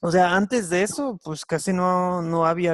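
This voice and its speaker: A man with an English accent speaks at a very slow pace, the sound dry and close with no echo. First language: English (speaking Spanish). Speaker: Bible teacher. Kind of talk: online Bible class lesson. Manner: halting, many fillers.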